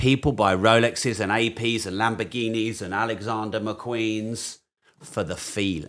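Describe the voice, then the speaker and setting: With a British accent, a man talks at a moderate pace. His pitch sits fairly low, and his intonation stays fairly even. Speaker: business and finance educator. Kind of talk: podcast conversation.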